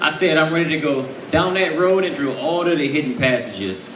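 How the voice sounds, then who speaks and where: Speaking with a New Orleans accent and ordinary pitch variation, a man with a fairly high pitch is heard over noticeable background noise and audible room echo. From US South, New Orleans. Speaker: spoken word poet. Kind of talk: poetry performance.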